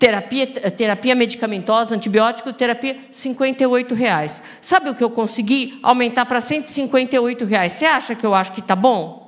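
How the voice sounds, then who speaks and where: Over noticeable background noise, the speaker talks at a fairly quick pace in an animated tone, with hardly any pauses and ordinary pitch variation. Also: woman, high pitch for a woman. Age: 60s. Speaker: physician, rare disease specialist. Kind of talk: panel discussion. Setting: stage with audience.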